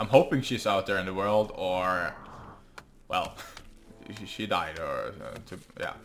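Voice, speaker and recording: A man with a Norwegian accent speaks at a fairly slow pace, with long, frequent pauses and big swings in loudness. Music plays in the background. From Norway. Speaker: gaming YouTuber. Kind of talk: let's play gameplay commentary. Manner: halting, many fillers.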